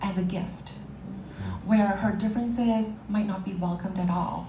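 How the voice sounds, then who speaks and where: A woman speaks at a medium pitch with monotone, flat intonation. Noticeable background noise is present. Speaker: pageant ambassador giving a speech. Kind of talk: heartfelt stage speech to an audience.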